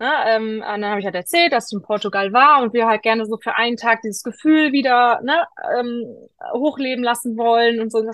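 A woman's fairly high voice with ordinary pitch variation and a fairly quick pace, an unremarkable speaking voice. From Rhineland, western Germany. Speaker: pilgrim with ADHD. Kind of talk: interview.

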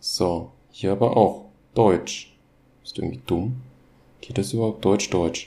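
A man's fairly low, dark, mellow voice with vocal fry, in a Hessian accent, at a very slow pace with long, frequent pauses and ordinary pitch variation. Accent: Hessian dialect coloring. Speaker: solo podcaster. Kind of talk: casual monologue. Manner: halting, many fillers and repetitions.

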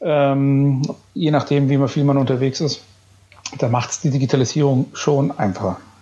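At a moderate pace with long, frequent pauses, a man speaks at a fairly high pitch with fairly even intonation. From Bavaria, Upper Franconia (Bayreuth). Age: 30s. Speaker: business association chairman and company executive. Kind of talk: podcast interview.

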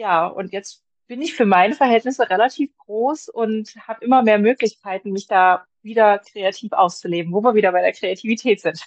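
A woman talks in an unremarkable speaking voice at a fairly high pitch and moderate pace, with ordinary pitch variation, hardly any pauses, and a dry, close sound with no echo. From Germany, Magdeburg. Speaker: publisher's blogger manager and video content creator. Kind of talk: casual interview.

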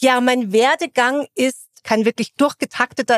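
In a dry, close sound with no echo, a woman speaks at a high pitch and a fairly slow pace with ordinary pitch variation. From Bavaria, Munich area. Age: 40s. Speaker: HR executive. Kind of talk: interview conversation. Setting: company office.

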